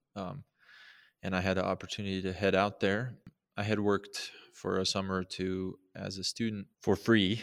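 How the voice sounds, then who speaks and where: Flat, monotone speech from a fairly low-pitched man with an American accent, at a moderate pace, in a very clean recording with a silent background. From Montana. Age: 30s. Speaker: archaeologist and museum curator. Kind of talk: interview.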